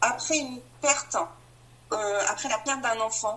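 A woman raises and projects her voice, with ordinary pitch variation. There is noticeable background noise. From France, Marne. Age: 40s. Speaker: bereaved mother sharing her story. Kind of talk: personal testimony.

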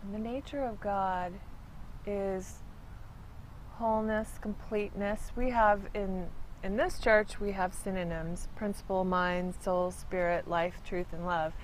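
With fairly even intonation, a woman speaks at a very slow pace. Room echo is audible. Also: medium pitch for a woman. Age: 50s. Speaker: church reading room attendant. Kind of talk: interview.

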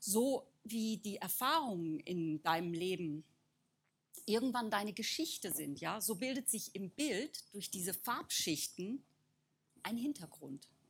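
A woman speaks at a very slow pace, her medium-pitched voice somewhat breathy. Her pitch swings very widely, broken by long, frequent pauses. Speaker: artist. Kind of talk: talk.

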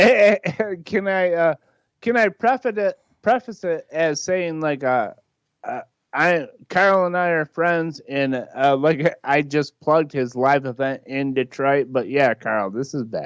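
In an American accent, a plain, everyday voice moves at a fairly slow pace with lively intonation, sounding dry and close with no echo. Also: man, fairly high pitch for a man. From Michigan. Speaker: podcast co-guest. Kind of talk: casual chat.

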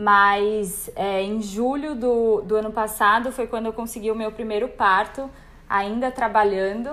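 A woman speaks at a fairly slow pace in an ordinary speaking voice, her pitch fairly high and her intonation fairly even. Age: 20s. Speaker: birth photographer. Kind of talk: casual chat.

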